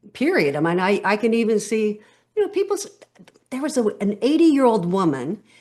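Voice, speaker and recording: A woman with an American accent speaks at a fairly quick pace, her fairly high pitch making very wide swings. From California. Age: 60s. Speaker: podcast guest, stress coach. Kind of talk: interview conversation.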